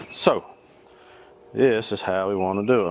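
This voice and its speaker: A man with a North Carolina accent talks at a moderate pace. His pitch is fairly low, and the sound is dry with no echo. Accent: Southern US (North Carolina). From US South, North Carolina. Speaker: cooking YouTuber. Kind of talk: cooking tutorial. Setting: outdoors on back porch. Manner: animated. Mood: upbeat, jokey. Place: garden.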